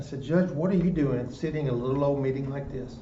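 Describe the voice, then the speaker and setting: A man talks at a fairly quick pace with a medium pitch and fairly even intonation. Audible room echo and noticeable background noise surround his voice. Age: 60s. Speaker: prison ministry volunteer. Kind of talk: discussion. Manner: halting.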